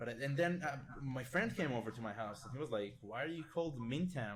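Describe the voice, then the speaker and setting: A man with a medium-pitched, somewhat breathy voice talks at a fairly quick pace with lively intonation. Room echo is audible. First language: not English. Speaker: gaming video editor. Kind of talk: casual podcast chat. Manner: hesitant, many fillers.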